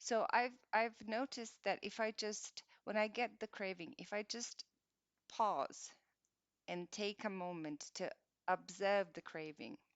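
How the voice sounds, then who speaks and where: At a fairly slow pace, a woman talks in an ordinary speaking voice. Her pitch is medium, with ordinary pitch variation. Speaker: meditation guide. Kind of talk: guided meditation. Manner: gentle, calm.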